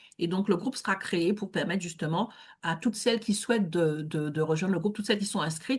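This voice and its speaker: A woman's medium-pitched, somewhat breathy voice at a fairly quick pace, with ordinary pitch variation and a quiet background. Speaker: networking event host. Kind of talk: online networking event hosting. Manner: hesitant with many fillers.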